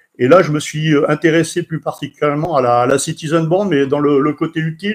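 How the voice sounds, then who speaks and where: Fairly high in pitch, this man's voice keeps a moderate pace and fairly even intonation. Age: 60s. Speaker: CB radio enthusiast and author. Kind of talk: personal account on a radio event. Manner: halting, many hesitations.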